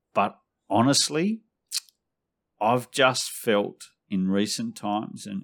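A man speaks very slowly in an Australian accent. The recording is very clean, with a silent background. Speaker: fantasy football analyst. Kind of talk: casual chat.

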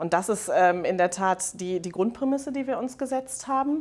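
A woman's ordinary speaking voice, fairly quick in pace, with ordinary pitch variation. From Germany, Rhineland. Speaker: head of mergers and acquisitions at a manufacturer. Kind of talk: interview. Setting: conference venue.

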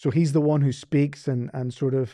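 A man speaks in a Northern Irish accent at a fairly slow pace. His tone is dark and mellow, set against a quiet background. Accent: Northern Irish, sounds Scottish-like. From Northern Ireland. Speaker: seminary professor. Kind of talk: casual interview chat.

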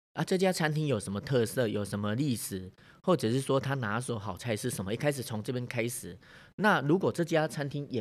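Recorded very cleanly with a silent background, a man with a Taiwanese accent talks at a fairly quick pace, medium in pitch, with lively intonation. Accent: Taiwanese Mandarin. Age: 50s. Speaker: bank manager and career coach. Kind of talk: interview. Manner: hesitant with fillers.

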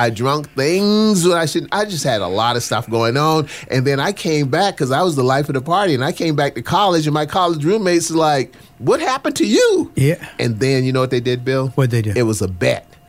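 Fairly high in pitch, this man has a normal speaking voice with lively intonation. He talks at a fairly quick pace with hardly any pauses. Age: 60s. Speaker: pastor. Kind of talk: casual chat.

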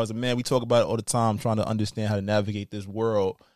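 A man talks very fast at a medium pitch in a monotone, flat delivery. The recording is very clean with a silent background, and the sound is dry and close with no echo. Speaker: podcast co-host, teacher. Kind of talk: casual chat.

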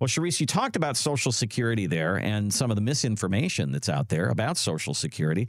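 A man's voice carries vocal fry and very wide pitch swings. The recording is very clean, with a silent background. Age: 60s. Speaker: radio co-host. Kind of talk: casual chat.

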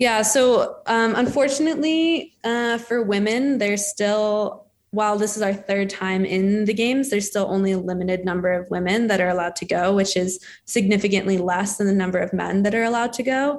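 A woman with an American accent speaks at a fairly quick pace, with hardly any pauses, in an ordinary speaking voice. Her pitch sits in the medium range and varies in an ordinary way. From Denver, Colorado, US. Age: 20s. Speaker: ski jumper. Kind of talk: casual interview.

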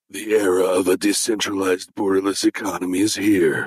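A man's put-on character voice, fairly low in pitch, at a fairly quick pace. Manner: deep announcer voice.

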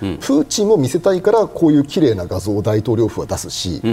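A man at a fairly quick pace, with very wide pitch swings and noticeable background noise. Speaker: military analyst and university lecturer. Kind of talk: TV panel discussion.

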